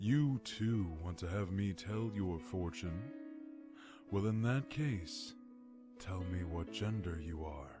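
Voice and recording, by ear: Over clear music in the background, a man in a put-on character voice speaks at a fairly low pitch and fairly slow pace.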